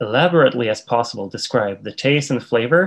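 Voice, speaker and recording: A man speaks with a Swedish accent. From Sweden. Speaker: tea instructor. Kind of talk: interview.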